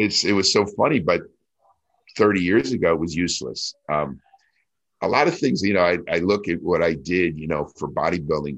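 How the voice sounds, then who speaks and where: A man with an American accent talks at a moderate pace with lively intonation. His voice is very deep and low, with vocal fry. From New Jersey. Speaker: retired pro bodybuilder. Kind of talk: casual interview.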